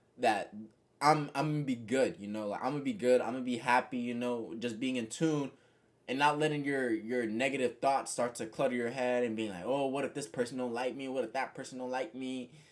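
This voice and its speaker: A man with an unremarkable speaking voice talks fairly quickly at a medium pitch. His intonation stays fairly even in a very clean recording with a silent background. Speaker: content creator and musician. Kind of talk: casual motivational monologue.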